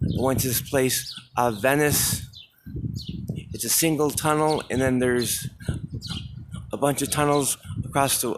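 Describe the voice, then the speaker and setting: A man talks with fairly even intonation at a medium pitch while noticeable background noise carries on around him. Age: 40s. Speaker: vlogger. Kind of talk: walking vlog monologue. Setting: outdoors, walking. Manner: halting.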